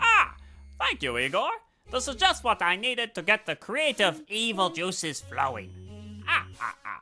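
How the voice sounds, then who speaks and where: In a put-on character voice, the speaker uses a middle pitch at a moderate pace. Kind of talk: comic overacting. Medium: actual play. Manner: pompous, theatrical.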